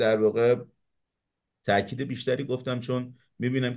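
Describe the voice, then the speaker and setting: A quiet background behind a man speaking at a moderate pace. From Iran, Savadkuh in Mazandaran; Mazandaran, Iran. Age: 30s. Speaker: YouTube show host. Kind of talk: political debate. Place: home room. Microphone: webcam.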